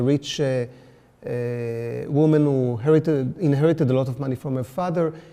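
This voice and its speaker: Speaking with an Israeli accent, a man has a fairly high pitch. His pitch variation is ordinary. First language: Hebrew. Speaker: artist. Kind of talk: artist talk. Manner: halting, many fillers.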